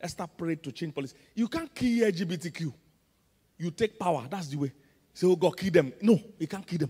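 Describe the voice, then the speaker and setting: Speaking at a moderate pace, a man has a high pitch with a dark, mellow tone and ordinary pitch variation against a quiet background. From Nigeria. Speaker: pastor. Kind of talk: sermon. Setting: church. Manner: animated. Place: church. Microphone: handheld.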